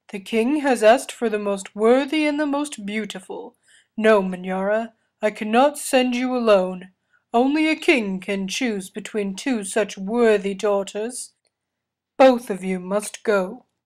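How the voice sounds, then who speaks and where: In a put-on character voice, a woman talks at a fairly slow pace with fairly high pitch. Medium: read story.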